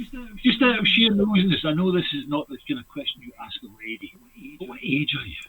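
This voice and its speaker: A very fast voice in a Scottish accent, with very wide pitch swings, big swings in loudness and noticeable background noise. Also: man, high pitch for a man. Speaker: livestream host. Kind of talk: casual chat. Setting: livestream.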